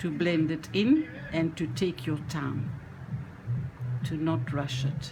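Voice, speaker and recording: Over music in the background, a woman with a very deep, low pitch speaks at a very slow pace with lively intonation. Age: 70s. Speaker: reborn doll painting hobbyist. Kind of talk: tutorial. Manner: halting.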